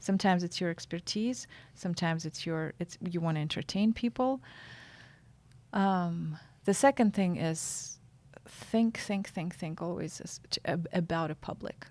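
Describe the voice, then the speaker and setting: A woman with a Russian accent speaks at a moderate pace, her fairly low pitch showing ordinary variation. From Russia, Siberia. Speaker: journalist and podcast consultant. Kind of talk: interview, advice.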